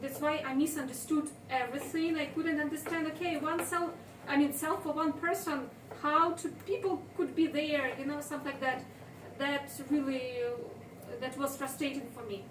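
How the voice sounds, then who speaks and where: Speech moves at a moderate pace. Audible room echo can be heard. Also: woman, high pitch for a woman, ordinary pitch variation. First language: Ukrainian or Russian. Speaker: translator and volunteer. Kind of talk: informal interview. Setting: kitchen while cutting tomatoes. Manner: halting.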